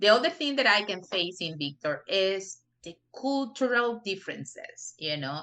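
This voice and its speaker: A woman at medium pitch with a bright, sharp tone and a strong Spanish accent, big swings in loudness, very wide pitch swings, and a moderate pace. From Peru. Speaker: non-profit director. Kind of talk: interview. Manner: frequent you know fillers.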